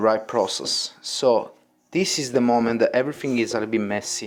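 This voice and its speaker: With a strong Italian accent, a man talks at a moderate pace, his pitch medium and its variation ordinary. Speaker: pizza chef and cooking teacher. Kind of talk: tutorial. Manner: casual, non-native phrasing.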